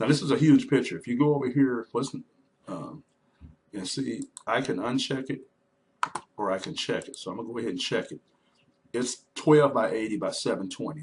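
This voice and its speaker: A man speaks at a fairly quick pace and medium pitch, somewhat breathy, with lively intonation and big swings in loudness. He takes long, frequent pauses. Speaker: online business trainer; blogger teaching blogging. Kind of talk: screen-share tutorial. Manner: fast; casual, halting with fillers. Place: home room. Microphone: webcam.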